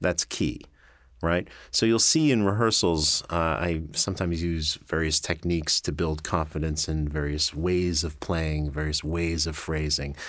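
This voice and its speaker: On a very clean recording with a silent background, a man with an American accent speaks at a very deep, low pitch with fairly even intonation. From New York, Long Island. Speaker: orchestra conductor. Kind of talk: interview. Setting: studio.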